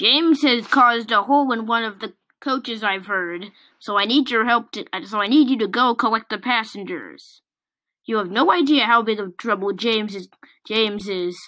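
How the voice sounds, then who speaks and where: A put-on character voice speaks at a moderate pace with ordinary pitch variation. The recording is very clean, with a silent background. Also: woman, fairly high pitch for a woman. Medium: read story. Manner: authoritative.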